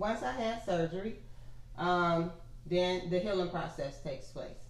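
With an American accent, a woman speaks at a fairly slow pace in a medium pitch, with audible room echo around her. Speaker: gastric bypass patient. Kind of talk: interview.

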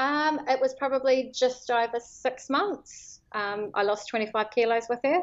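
With a New Zealand accent, a woman speaks fairly slowly in a high voice with ordinary pitch variation. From New Zealand, Northland (Whangarei Heads). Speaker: property lawyer and fasting follower sharing her story. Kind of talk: casual interview. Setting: phone call.

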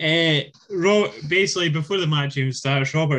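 With a British accent, the speaker's pitch moves in an ordinary way. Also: man. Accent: British English, can do Scottish. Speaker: wrestling podcast host. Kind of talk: casual banter.

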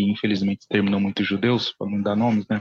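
This man's fairly low voice has monotone, flat intonation and a dry, close sound with no echo. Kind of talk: casual chat. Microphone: too quiet.

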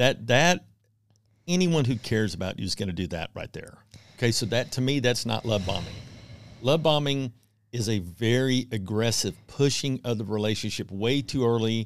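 A man with an American accent talks in a normal speaking voice at a moderate pace and a medium pitch. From Texas (Houston). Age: 50s. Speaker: divorce support group leader. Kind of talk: casual interview.

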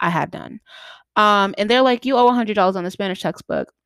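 In an American accent, a woman speaks in an ordinary speaking voice, fairly high in pitch with ordinary pitch variation. The sound is dry and close with no echo, on a very clean recording with a silent background. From Boston, Massachusetts. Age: 20s. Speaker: podcaster. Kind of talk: solo podcast monologue. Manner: casual, filler-heavy.

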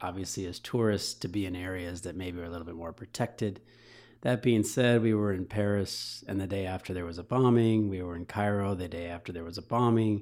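Over a silent background in a very clean recording, a man with a Midwestern accent talks at a fairly quick pace, fairly low in pitch with ordinary pitch variation. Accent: General American (Midwest). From Michigan, US. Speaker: football coach. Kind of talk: casual chat.

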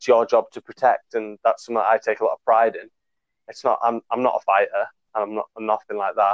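Loudness in this man's voice jumps up and down a lot. He talks very fast. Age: 20s. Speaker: podcast guest. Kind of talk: casual chat.

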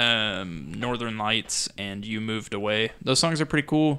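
A man with a normal speaking voice at a fairly slow pace. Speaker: podcast host. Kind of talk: casual chat.

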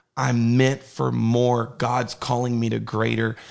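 At a fairly slow pace, a man talks with an American accent. He has an unremarkable speaking voice at a medium pitch. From Southern California. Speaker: youth pastor. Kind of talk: casual chat.

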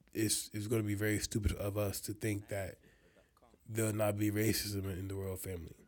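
Music plays in the background as a man talks at a fairly low pitch. His intonation stays monotone and flat. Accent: American. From Nigerian American, grew up in the US. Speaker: podcast co-host. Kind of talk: casual chat.

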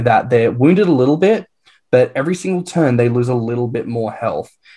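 Ordinary pitch variation marks this man's speech with an Australian accent. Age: 20s. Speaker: podcast co-host. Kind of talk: casual chat.

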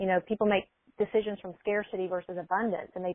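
A woman talks at a very fast pace. Her medium-pitched voice keeps a fairly even intonation. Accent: American. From US South, small-town Alabama. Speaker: mindset coach. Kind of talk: casual interview.

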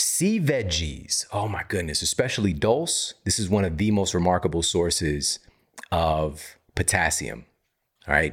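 In a very clean recording with a silent background, a man with an American accent speaks at a very deep, low pitch and a fairly slow pace. His tone is animated and somewhat breathy, with lively intonation. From US Midwest, Missouri. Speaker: health podcast host and author. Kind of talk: solo educational monologue.

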